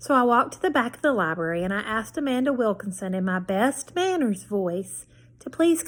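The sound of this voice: The speaker uses an unforced reading voice whose intonation is lively.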